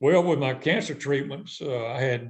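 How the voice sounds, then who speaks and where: A somewhat breathy man with a Southern US accent talks at a moderate pace and a medium pitch. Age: 60s. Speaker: retired fishing tournament director. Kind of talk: podcast interview.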